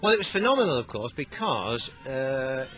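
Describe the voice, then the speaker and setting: A man's voice comes across dry, without echo, while faint music plays underneath. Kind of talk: interview answer. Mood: fond, dry humour. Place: street.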